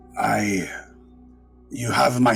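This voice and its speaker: Clear music plays in the background as a man uses a put-on character voice at a medium pitch. His delivery is very slow, monotone and flat. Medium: actual play. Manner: formal, measured.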